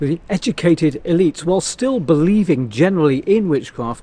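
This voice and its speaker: A man with a normal speaking voice, fairly high in pitch, at a fairly quick pace. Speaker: storyteller, tour guide. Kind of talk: history storytelling to camera.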